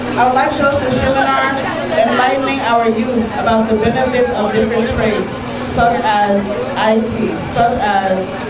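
Over crowd noise in the background, a woman speaks at a moderate pace. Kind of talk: public speech. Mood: earnest, encouraging. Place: street.

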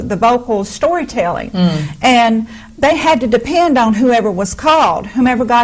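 Over noticeable background noise, a woman speaks at a moderate pace with a fairly high pitch and very wide pitch swings. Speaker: minister. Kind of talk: sermon conversation.

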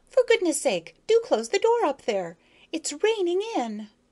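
A squeaky, put-on character voice jumps through very wide pitch swings at an extremely high pitch. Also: moderate pace. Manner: irritated, complaining.

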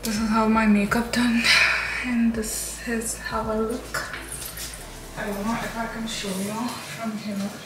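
Loud background noise surrounds a woman who talks at a fairly slow pace. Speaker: beauty vlogger. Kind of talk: casual vlog chat. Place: bathroom. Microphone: camera far.

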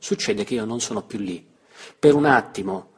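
Unforced read speech

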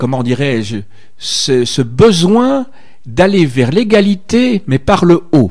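Speaking at a very slow pace, a man makes very wide pitch swings. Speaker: radio host. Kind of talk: radio interview. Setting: studio. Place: studio.

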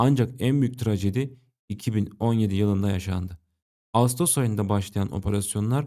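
On a very clean recording with a silent background, a man's dark, mellow voice sits at a fairly low pitch, moving at a moderate pace with ordinary pitch variation. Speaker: history and politics video narrator. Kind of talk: scripted narration.

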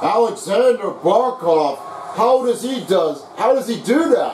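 A man speaks at a fairly slow pace with lively intonation amid noticeable background noise. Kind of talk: live commentary of a video game hockey match.

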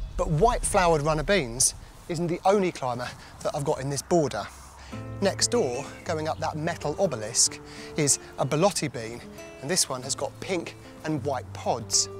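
A man speaks with long, frequent pauses in a dry recording with no echo, while clear music plays in the background. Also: moderate pace. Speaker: presenter. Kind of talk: tutorial. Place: garden. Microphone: lapel.

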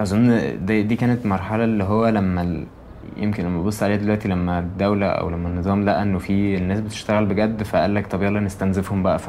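With an Egyptian accent, a man speaks at a fairly quick pace and fairly low pitch, his intonation fairly even, over noticeable background noise. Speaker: anonymous interviewee. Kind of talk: testimony, recounting the 2011 uprising as an oral-history interview. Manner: heated, fast, agitated, tumbling words with repeats; raw, angry, conversational with slang.

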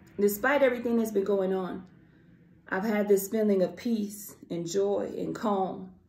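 A woman's dark, mellow tone at a moderate pace, with fairly even intonation and audible room echo. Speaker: spoken word poet. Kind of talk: casual talk to camera. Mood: calm, reflective, sincere. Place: home room. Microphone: phone near.

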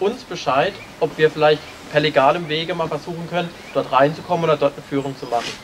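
A man talks at a moderate pace while light background noise stays audible. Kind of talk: briefing to a tour group. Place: open country. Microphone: camera far.

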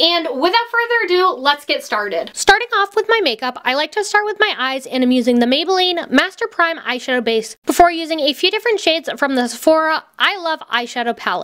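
With hardly any pauses, a woman talks at a fairly quick pace in an extremely high pitch, her voice making very wide pitch swings. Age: 20s. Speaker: beauty and lifestyle YouTuber. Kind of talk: scripted voiceover tutorial.

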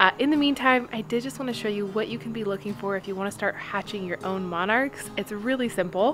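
A woman speaks over noticeable background noise. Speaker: home vlogger. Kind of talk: casual vlog chat. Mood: cheerful, enthusiastic. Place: garden. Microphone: phone near.

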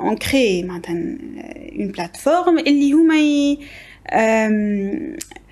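Very slowly, a woman speaks in a Tunisian accent. Her high pitch makes very wide swings. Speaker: guest presenting an education academy. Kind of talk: casual interview chat. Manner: code-switching between Tunisian Arabic, French and English. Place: studio. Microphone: studio mic.

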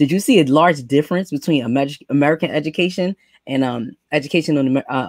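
A woman at a fairly quick pace, dry with no echo, over a quiet background. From New York. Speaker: podcast host, educator program director. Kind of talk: interview. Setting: video call. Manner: animated. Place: home room. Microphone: webcam.

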